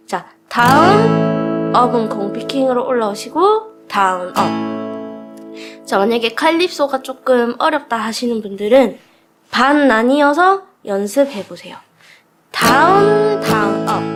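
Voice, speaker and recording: There is music in the background. Over it, a woman speaks at a very slow pace. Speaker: guitar teacher. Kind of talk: tutorial instruction.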